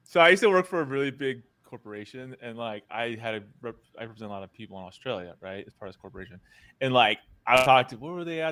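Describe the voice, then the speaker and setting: Speaking very fast in an American accent, a man with a medium-pitched voice uses lively intonation and big swings in loudness. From United States. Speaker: podcast host. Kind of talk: casual interview chat. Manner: animated.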